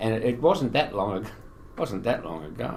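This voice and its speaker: An Australian-accented man talks at a fairly quick pace, with audible room echo. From Western Australia, Fremantle. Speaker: veteran small business owner. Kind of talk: casual chat.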